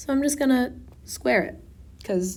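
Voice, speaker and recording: With audible room echo, a woman talks at a moderate pace in a dark, mellow, somewhat breathy tone. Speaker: physics tutor. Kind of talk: tutorial. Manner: casual.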